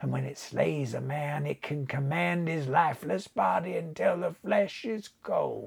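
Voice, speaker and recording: A mumbling, put-on character voice at a fairly slow pace. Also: man. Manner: slow, mumbling, dreamy.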